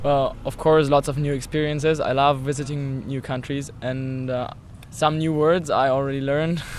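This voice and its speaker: Audible room echo surrounds a man speaking in a German accent at a moderate pace. His pitch is fairly high and his intonation monotone and flat. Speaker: visiting youth group member. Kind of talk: interview.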